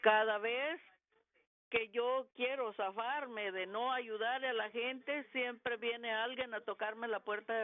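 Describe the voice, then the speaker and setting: At a very slow pace, a woman with a fairly high voice speaks with fairly even intonation. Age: 60s. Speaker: caller. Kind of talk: phone-in question. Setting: phone call. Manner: halting.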